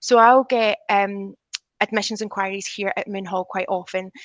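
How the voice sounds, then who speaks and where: A woman speaks with a Scottish accent. Her intonation is monotone and flat. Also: dry, close sound with no echo. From Scotland. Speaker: teacher. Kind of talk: panel discussion. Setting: video call.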